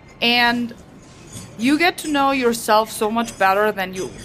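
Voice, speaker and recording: A woman talks with a German accent. Noticeable background noise runs behind her. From rural Germany. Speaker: teacher. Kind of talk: casual chat. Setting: restaurant.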